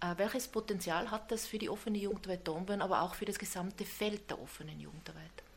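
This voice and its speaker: Over noticeable background noise, a woman with a medium pitch speaks very fast in fairly even intonation, with hardly any pauses. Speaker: podcast host. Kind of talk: interview.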